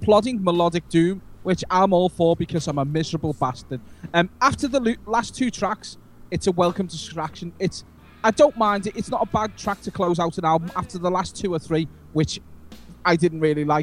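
This man has a high-pitched voice. He speaks with a Liverpool accent. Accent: Scouse. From northern England, Liverpool. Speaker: podcast host. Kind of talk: casual chat.

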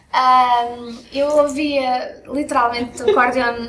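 A woman speaks at a high pitch. Noticeable background noise runs behind her. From Belgium (Brussels), moved to Portugal at 10. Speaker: singer. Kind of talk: casual interview. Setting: restaurant.

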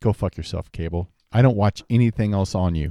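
A man's fairly low voice with a dark, mellow tone, ordinary pitch variation and a moderate pace. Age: 60s. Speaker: sports podcast co-host. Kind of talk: casual chat.

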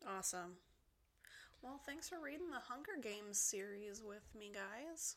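With lively intonation, an unremarkable speaking voice proceeds at a fairly slow pace. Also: woman, fairly high pitch for a woman. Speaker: podcast co-host. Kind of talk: casual chat over drinks, book discussion. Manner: bubbly, joking.

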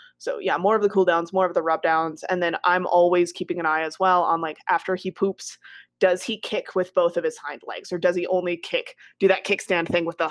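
A woman with a fairly low pitch speaks at a fairly quick pace in a monotone, flat intonation. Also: quiet background. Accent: American. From US Midwest, northern Wisconsin. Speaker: dog trainer. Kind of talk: casual interview chat. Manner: casual, many fillers.

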